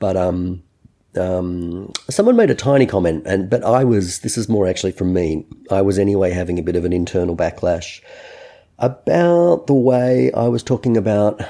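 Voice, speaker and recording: At a moderate pace, a man with an Australian accent speaks in a very deep, low voice with ordinary pitch variation. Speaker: podcast host. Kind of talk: casual chat. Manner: halting, many fillers.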